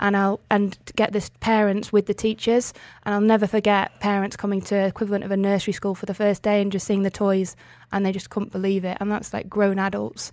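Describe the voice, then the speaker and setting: A woman speaks very fast at medium pitch. Her intonation is flat and monotone on a very clean recording with a silent background. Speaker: charity founder. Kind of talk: radio interview.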